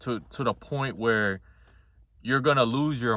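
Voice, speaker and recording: With a normal speaking voice, a man talks at a medium pitch and a moderate pace, his intonation lively. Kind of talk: casual talk to camera.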